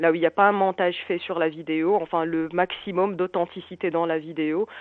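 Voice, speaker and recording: The woman speaks at a fairly low pitch and a moderate pace. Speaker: founder of a slam poetry association, radio guest. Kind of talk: radio interview answer.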